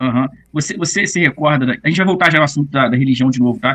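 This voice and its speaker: With lively intonation, a man speaks at a fairly quick pace in a medium pitch. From Minas Gerais, Brazil. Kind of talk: casual conversation.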